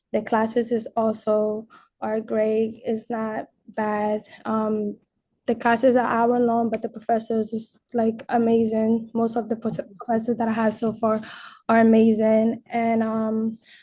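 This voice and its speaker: Her voice is somewhat breathy and fairly high, and the woman speaks at a fairly slow pace in a monotone, flat intonation. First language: not English (English is third language). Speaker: college student. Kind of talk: testimony. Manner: halting.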